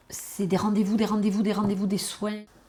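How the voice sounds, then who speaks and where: A woman's voice over noticeable background noise. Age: 60s. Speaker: retired nurse, cancer patient. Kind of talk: documentary testimony. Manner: halting, with many repetitions and hesitations.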